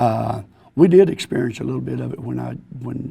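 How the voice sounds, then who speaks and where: A man speaks at a moderate pace with a medium pitch. His tone is dark and mellow, with vocal fry. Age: 60s. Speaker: football coach. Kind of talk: panel discussion.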